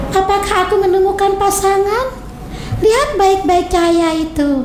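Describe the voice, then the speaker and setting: Using a put-on character voice, a woman talks at a moderate pace, with a slight echo and clear background noise. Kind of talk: bedtime story. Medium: read story.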